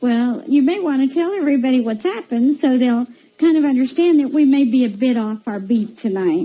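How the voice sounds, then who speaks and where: There is noticeable background noise as a woman talks at a high pitch. She moves at a fairly quick pace with lively intonation. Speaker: psychic radio host. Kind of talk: radio interview chat. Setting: live radio show. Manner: soft, unable to project.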